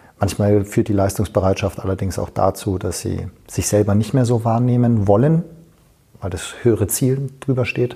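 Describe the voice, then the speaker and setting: Moderately paced, this man's speech is somewhat breathy with a dark, mellow tone. His pitch is fairly low, with ordinary pitch variation. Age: 40s. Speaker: fitness coach. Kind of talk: interview. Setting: fitness conference.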